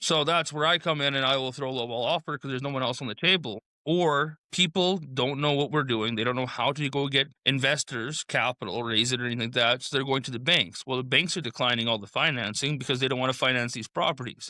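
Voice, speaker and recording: A man mumbles at a very fast pace with a Saskatchewan accent, his medium-pitched voice bright and sharp in tone. The recording is very clean with a silent background and a dry, close sound with no echo. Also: ordinary pitch variation, hardly any pauses. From Saskatchewan, Canada. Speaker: real estate investor. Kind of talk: casual podcast chat. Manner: mumbling.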